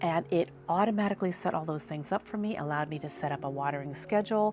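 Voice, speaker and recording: Fairly low in pitch with ordinary pitch variation, a woman talks in an unremarkable speaking voice. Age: 60s. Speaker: lifestyle vlogger. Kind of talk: casual vlog narration; sponsored product pitch. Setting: outdoors in garden.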